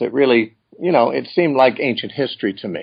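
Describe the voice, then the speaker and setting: A man with a plain, everyday voice and ordinary pitch variation. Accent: American. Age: 60s. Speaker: Bible teacher. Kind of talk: interview.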